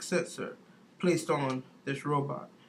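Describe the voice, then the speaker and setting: A man's voice at a moderate pace, with fairly even intonation. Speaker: university student. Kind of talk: class project presentation.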